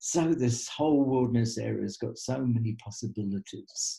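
Over a quiet background, a man with medium pitch and a dark, mellow tone speaks at a fairly slow pace, somewhat breathy. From Australia. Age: 70s. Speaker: trekking guide and author. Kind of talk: webinar talk. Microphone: webcam.

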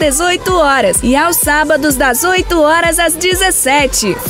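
A woman's extremely high-pitched voice at a moderate pace, with ordinary pitch variation, clear background music and a dry sound with no echo. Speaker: voice actor (announcer). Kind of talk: TV/radio-style commercial read for a clothing store. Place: studio.

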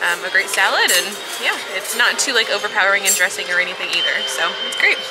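Very fast female speech over clear music in the background. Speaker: food vlogger. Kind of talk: casual food review chat. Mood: cheerful, slightly spicy-mouthed. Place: cafe. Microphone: phone near.

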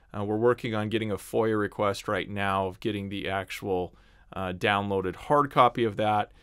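This man has a fairly low pitch and speaks at a moderate pace. His intonation stays fairly even over a quiet background. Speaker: online news host. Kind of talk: commentary. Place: home room. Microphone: studio mic.

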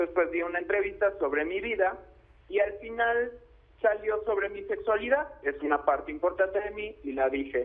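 Moderately paced speech from a man, high in pitch with lively intonation. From Mexico. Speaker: aspiring actor. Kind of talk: phone-in testimony. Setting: phone call.

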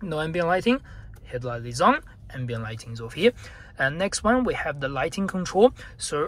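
At a moderate pace, a man talks with big swings in loudness in a dry sound with no echo. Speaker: car salesperson channel host. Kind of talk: tutorial. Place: car. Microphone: phone near.

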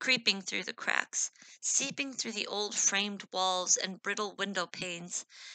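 Plain reading aloud in a fairly even intonation.

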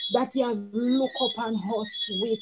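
Loud background noise fills the clip. The speech moves at a fairly slow pace. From Jamaica. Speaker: church elder. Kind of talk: prayer. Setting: video call. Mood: earnest, devout. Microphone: video call.

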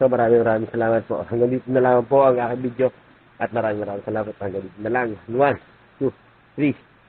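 Speaking very fast at medium pitch, a man keeps a flat monotone while his loudness swings a lot. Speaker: vlogger. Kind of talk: casual vlog narration.

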